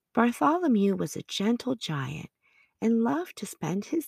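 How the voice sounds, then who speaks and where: A calm, soothing, somewhat breathy delivery at a fairly slow pace, with a dry, close sound and no echo. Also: woman. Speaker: podcast narrator. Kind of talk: bedtime story narration for children. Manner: calm, soothing, gentle storyteller pace.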